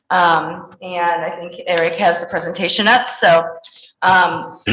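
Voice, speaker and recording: Audible room echo around a woman's voice at a middle pitch. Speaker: school district finance officer. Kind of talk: budget presentation. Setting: school board meeting.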